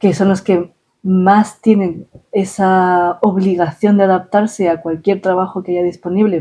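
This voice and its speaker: Dark, mellow tone from a woman at medium pitch. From Ecuador. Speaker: scientific publications specialist. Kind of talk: interview answer. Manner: hesitant.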